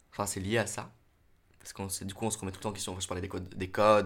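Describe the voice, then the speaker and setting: A man talks in a fairly low pitch. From Normandy, France. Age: 20s. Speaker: drama student and actor. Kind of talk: casual interview. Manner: halting.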